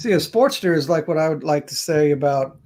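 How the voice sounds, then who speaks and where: Here a man talks at a moderate pace. His voice is fairly high in pitch, with a dark, mellow tone. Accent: Mississippi. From US South, south Mississippi. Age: 40s. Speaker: YouTuber, motorcycle channel. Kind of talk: live stream chat. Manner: halting, repeats words.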